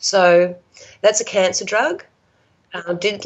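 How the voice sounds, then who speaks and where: A woman with an Australian accent talks at a medium pitch and a moderate pace. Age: 50s. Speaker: support worker sharing health recovery story. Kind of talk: casual interview, personal story.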